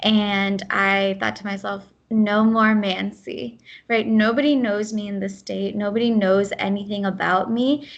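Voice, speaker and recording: Against a quiet background, a woman with a Midwestern US accent talks at a fairly slow pace with fairly even intonation and hardly any pauses. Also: medium pitch for a woman. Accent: US Midwest. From US Midwest, Ohio. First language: Gujarati. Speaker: program manager. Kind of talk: podcast interview.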